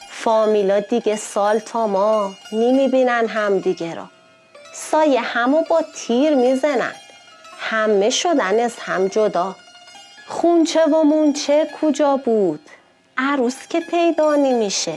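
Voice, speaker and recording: With music in the background, a woman in an Isfahani accent talks at a very slow pace, her high voice full of lively intonation. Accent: Isfahani Persian. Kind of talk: poetry reading.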